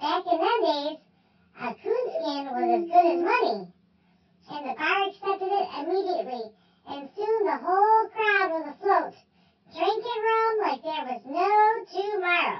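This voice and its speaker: A woman does a squeaky, put-on character voice at an extremely high pitch, with lively intonation and a moderate pace. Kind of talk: tall tale telling. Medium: read story. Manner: folksy, chatty, stumbling.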